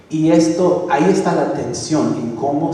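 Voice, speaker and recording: With noticeable background noise and audible room echo, a man speaks at a very slow pace. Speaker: pastor. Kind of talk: sermon. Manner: halting, with fillers and restarts.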